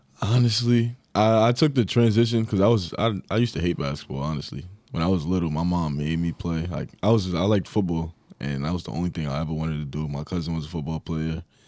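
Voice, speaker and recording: Talking at a very fast pace, a man with a very deep, low pitch and lively intonation speaks in a New York accent. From New York (Long Island). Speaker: college basketball player. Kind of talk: interview.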